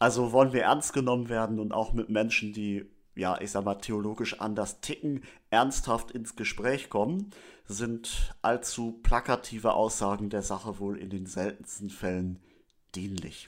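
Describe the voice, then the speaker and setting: Recorded very cleanly with a silent background, a man with a fairly low voice speaks in an ordinary speaking voice at a fairly slow pace with fairly even intonation. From northern Germany, Schleswig-Holstein. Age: 30s. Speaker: theology student and lay church leader. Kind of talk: religious teaching talk.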